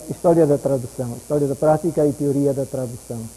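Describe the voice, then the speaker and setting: Fairly high pitch for a man, ordinary pitch variation and a moderate pace, with noticeable background noise. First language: German (speaking Portuguese). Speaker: university professor lecturing. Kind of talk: lecture. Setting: lecture hall with audience. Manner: unscripted, halting.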